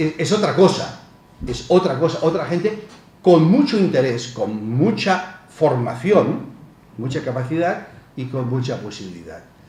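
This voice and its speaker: A man speaks at a fairly slow pace with very wide pitch swings. Audible room echo is present. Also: fairly high pitch for a man, big swings in loudness. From Spain, Barcelona (Catalonia). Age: 60s. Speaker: professor. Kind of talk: lecture. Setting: conference with audience. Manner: halting, with repetitions.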